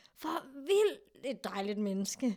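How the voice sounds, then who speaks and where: A very clean recording of a woman, the background silent. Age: 30s. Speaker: sexologist and therapist. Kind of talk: casual chat.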